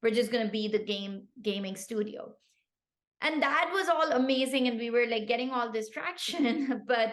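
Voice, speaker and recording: With a Pashto accent, a woman speaks at a moderate pace in a high pitch, her tone animated and her pitch variation ordinary. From Pakistan. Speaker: tech founder. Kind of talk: podcast interview.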